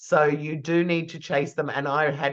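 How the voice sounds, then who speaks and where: A woman's very deep, low voice in an Australian accent, at a moderate pace against a quiet background. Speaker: PR trainer. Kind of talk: lecture.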